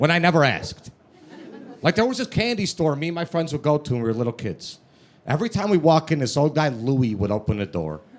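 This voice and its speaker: A man talks with a strong Chicago accent at a fairly quick pace. His pitch is fairly high and swings very widely. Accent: thick Chicago. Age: 30s. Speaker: comedian. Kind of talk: stand-up. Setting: stage with audience.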